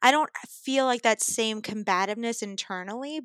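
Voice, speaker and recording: A woman with an American accent speaks in a fairly high pitch with a bright, sharp tone. The recording is very clean, with a silent background and a dry, close sound with no echo. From New York City (Brooklyn). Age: 30s. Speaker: improv actor. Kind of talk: casual chat.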